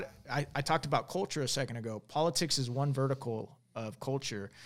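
On a very clean recording with a silent background, a man with an American accent uses an ordinary speaking voice at a moderate pace with ordinary pitch variation. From Arizona, Tucson. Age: 40s. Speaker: former navy commando, congressional candidate. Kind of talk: casual interview chat.

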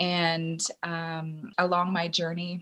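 A woman with a Canadian accent, a fairly low pitch and a somewhat breathy sound. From rural Ontario, Canada. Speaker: acrobatics teacher and division manager. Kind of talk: interview. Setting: video call.

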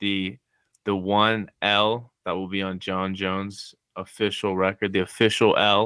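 A man speaks at a fairly slow pace in a fairly low voice. His intonation is monotone and flat. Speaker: student. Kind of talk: casual chat.

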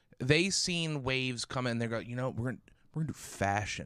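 A man with a plain, everyday voice, medium pitch and lively intonation, at a moderate pace, in a very clean recording over a silent background. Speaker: podcast host. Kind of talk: casual chat. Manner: joking banter.

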